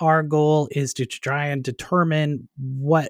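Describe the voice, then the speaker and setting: A man with a normal speaking voice and a fairly high pitch keeps fairly even intonation, in a dry, close sound with no echo on a very clean recording with a silent background. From Canada. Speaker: digital marketing expert and author. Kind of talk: casual interview.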